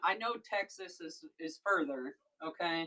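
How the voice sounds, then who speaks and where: A woman with an American accent and a bright, sharp tone, at a very slow pace. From rural Missouri. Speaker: live-stream seller. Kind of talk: casual chat. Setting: live stream. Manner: animated.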